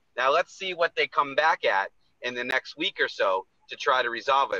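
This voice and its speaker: The man talks at a moderate pace. His voice is recorded dry, with no echo. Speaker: personal injury attorney. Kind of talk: casual radio chat, promotional segment. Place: car. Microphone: video call.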